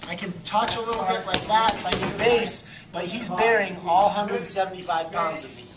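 Loud background noise sits behind a man talking. His pitch shows ordinary variation. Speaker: jiu-jitsu instructor. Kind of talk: tutorial. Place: gym. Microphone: camera far.

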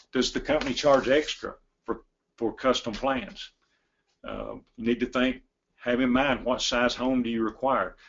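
Speaking at a moderate pace with a Tennessee accent, a man of medium pitch keeps a fairly even intonation and takes long, frequent pauses. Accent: Southern US (Tennessee). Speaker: log home company executive. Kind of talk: webinar presentation. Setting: online webinar from his office. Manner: halting.

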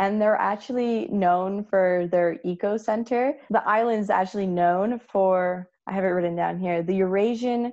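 A woman with an ordinary speaking voice talks at a fairly slow pace over a quiet background, with a medium pitch and ordinary pitch variation. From New Jersey, US. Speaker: podcast guest. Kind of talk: casual chat.

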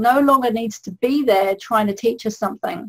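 A woman's fairly high, plain, everyday voice with lively intonation. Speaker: holistic health coach. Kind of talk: webinar presentation.

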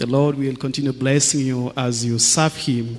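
With faint music behind him, a man talks at a fairly slow pace in a medium pitch with fairly even intonation.

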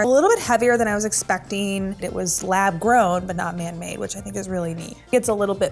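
A woman at a fairly quick pace, with faint music in the background. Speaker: show host. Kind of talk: casual educational unboxing commentary. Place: studio.

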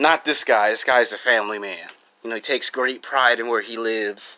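A man talks at a moderate pace with a bright, sharp tone. His intonation stays monotone and flat. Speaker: vlogger. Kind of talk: casual vlog chat. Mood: relaxed, joking. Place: home room. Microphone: phone near.

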